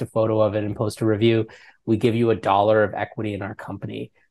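Here a man speaks with a New York accent at a very fast pace. His intonation is monotone and flat. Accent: American (New York). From New York City. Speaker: app founder and CEO; guest. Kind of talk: interview. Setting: remote call. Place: home room. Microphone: earbuds.

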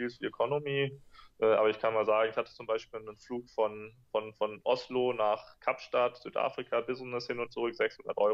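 Fairly quick and fairly even in intonation, a man delivers his words. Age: 20s. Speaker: entrepreneur and blogger; interview guest, entrepreneur blogger. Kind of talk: interview. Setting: video call.

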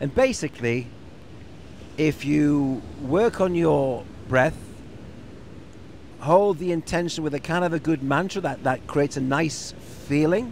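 A man's voice comes through dry with no echo over light background noise. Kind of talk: casual reflective chat. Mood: relaxed, thoughtful. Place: garden. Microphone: handheld.

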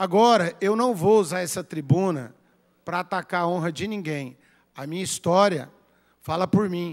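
A man with a high pitch and ordinary pitch variation speaks at a moderate pace, leaving long, frequent pauses, while his loudness swings widely. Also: quiet background. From Goiânia, Brazil; Brazil. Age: 50s. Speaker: city councillor. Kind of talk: political speech; reading of minutes. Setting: council chamber. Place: hall. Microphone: podium.

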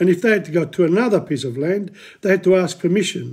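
A man with a high pitch talks in a dark, mellow tone against a quiet background. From southern Italy (Matera, Basilicata); Basilicata, Italy. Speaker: history presenter; presenter. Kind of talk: lecture. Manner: halting. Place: home room. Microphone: phone near.

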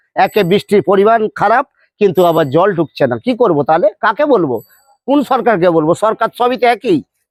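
This man's high voice moves with lively intonation while his loudness stays very even. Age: 40s. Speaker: farmer. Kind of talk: street interview.

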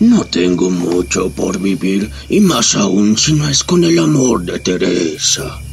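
Using a put-on character voice, a man speaks at a very deep, low pitch and a fairly slow pace with hardly any pauses. Clear background noise is present. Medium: audio drama.

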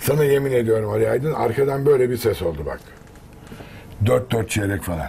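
Speaking at a moderate pace, a man uses lively intonation at a medium pitch. He leaves long, frequent pauses, and there is light background noise. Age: 50s. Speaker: actor and voice artist; actor. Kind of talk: casual chat. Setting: sports club store. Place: shop.

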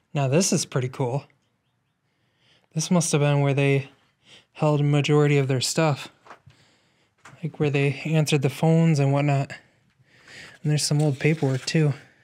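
Delivery comes at a moderate pace with long, frequent pauses, monotone, flat intonation and very even loudness. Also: man. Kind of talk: casual exploration commentary. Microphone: phone near.

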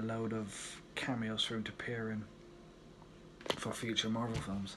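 A man at a moderate pace with monotone, flat intonation, over noticeable background noise. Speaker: vlogger. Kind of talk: casual vlog chat. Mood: reflective, tribute tone. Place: kitchen. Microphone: phone near.

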